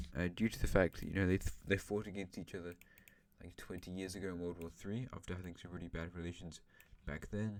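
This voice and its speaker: A man talks at a fairly quick pace, and his pitch varies in an ordinary way. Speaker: YouTuber narrating an alternate-history game. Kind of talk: gameplay commentary. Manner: fast.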